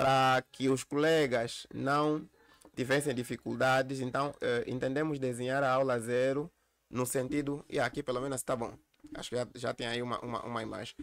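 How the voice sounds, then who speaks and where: A man talks at a moderate pace at medium pitch. His intonation is monotone and flat. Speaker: university lecturer. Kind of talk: lecture. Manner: halting, repeats words.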